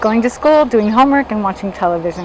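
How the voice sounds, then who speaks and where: A woman's fairly high-pitched voice with an American accent, over noticeable background noise. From US, Los Angeles. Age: 60s. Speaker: interviewee telling life story. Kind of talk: personal testimony. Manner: conversational, with fillers.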